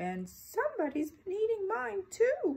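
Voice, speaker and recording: A soft-spoken, female-sounding put-on character voice, squeaky and at an extremely high pitch, moves at a moderate pace. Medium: read story.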